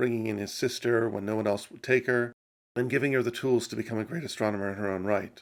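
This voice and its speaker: Speaking in an American accent, a man uses medium pitch and fairly even intonation. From mixed US and UK upbringing. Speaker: science YouTuber. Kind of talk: Q&A answering viewer questions.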